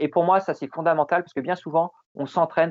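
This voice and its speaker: Here a man is speaking. His pace is very fast. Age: 40s. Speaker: ultra-trail runner. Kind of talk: interview. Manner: hesitant, many repetitions.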